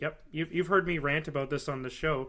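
With a plain, everyday voice, a man talks at a fairly high pitch and fairly even intonation. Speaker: podcast host. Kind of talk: casual interview.

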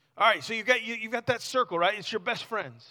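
A man speaks in a raised, projected voice at an extremely high pitch. His tone is animated, bright and sharp. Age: 40s. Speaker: youth pastor. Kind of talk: sermon. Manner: halting.

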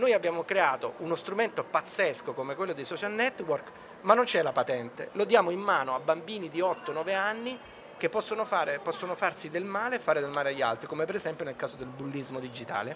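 A man speaks at a fairly quick pace in a high voice with lively intonation over noticeable background noise. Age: 50s. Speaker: film director and author. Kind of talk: interview. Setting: radio stand at a book fair.

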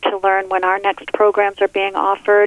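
A woman speaks at a fairly quick pace with a medium pitch, over noticeable background noise. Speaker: nurse. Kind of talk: radio interview. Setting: studio.

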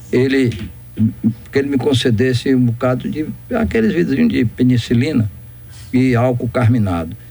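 Over noticeable background noise, a man at medium pitch speaks at a moderate pace with very even loudness, ordinary pitch variation, and long, frequent pauses. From Brazil, interior of Bahia. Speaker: doctor and former politician. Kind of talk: radio interview.

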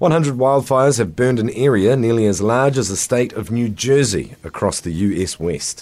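Here a man with an ordinary speaking voice, medium in pitch, moves at a moderate pace with lively intonation and hardly any pauses. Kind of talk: news reading. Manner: formal; steady, even-paced delivery.

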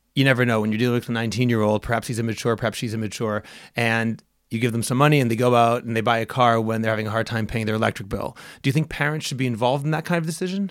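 On a very clean recording with a silent background, a man talks at a very fast pace, his medium-pitched voice showing ordinary pitch variation. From outside Israel. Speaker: podcast host. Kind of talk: casual interview.

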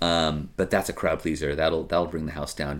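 The speech is very fast and delivered in a flat monotone. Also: man. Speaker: karaoke host. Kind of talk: casual chat.

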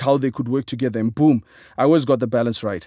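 A man's dark, mellow tone, dry and close with no echo, on a very clean recording against a silent background. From Zimbabwe. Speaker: comedian. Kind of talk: reading aloud.

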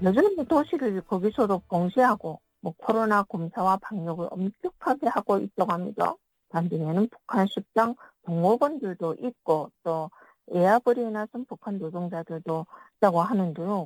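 Her intonation is lively as a woman with an ordinary speaking voice talks at a medium pitch and a moderate pace. The sound is dry and close, with no echo. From North Korea. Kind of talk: interview.

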